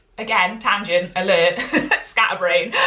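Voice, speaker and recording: A woman speaks in a Welsh accent. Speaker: sewing pattern designer and teacher. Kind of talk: Instagram live tutorial. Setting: live video stream. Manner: chatty, filler-heavy.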